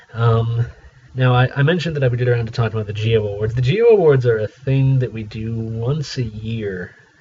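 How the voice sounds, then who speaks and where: Amid noticeable background noise, a man at medium pitch speaks with big swings in loudness. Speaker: community radio DJ. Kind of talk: solo radio show retrospective, casual talk. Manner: conversational; hesitant, many fillers.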